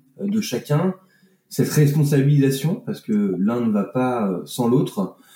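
This man has a medium-pitched voice. His intonation is lively. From France, Annecy (Alps). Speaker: business consultant and facilitator. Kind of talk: interview conversation. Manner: hesitant, with frequent fillers and repetitions.

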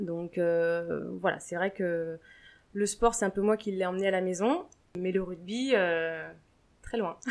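At a very slow pace with long, frequent pauses, a woman speaks at medium pitch with fairly even intonation. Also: very clean recording, silent background. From France, Deux-Sèvres. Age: young. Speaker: rugby player's wife, former gymnastics coach. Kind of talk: interview. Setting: at her home.

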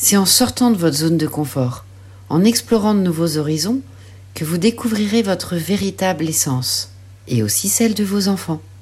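A woman's pitch swings very widely at a moderate pace, with noticeable background noise throughout. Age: 40s. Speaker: life coach and mother. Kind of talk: scripted personal narration.

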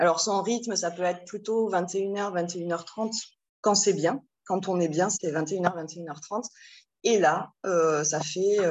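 With fairly even intonation, a woman talks at a medium pitch and a very slow pace. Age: 40s. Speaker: single mother seeking parenting advice. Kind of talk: casual chat. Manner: halting.

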